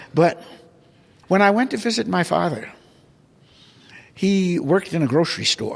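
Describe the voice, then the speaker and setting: The speaker has an American accent and a moderate pace. Their pitch swings very widely, with long, frequent pauses. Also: man, high pitch for a man. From US South, New Orleans. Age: 90s. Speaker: art collector. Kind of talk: interview.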